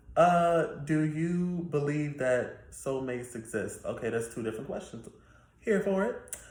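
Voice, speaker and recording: A man's fairly high, somewhat breathy voice at a fairly slow pace, with lively intonation. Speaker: YouTuber. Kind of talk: casual Q&A monologue.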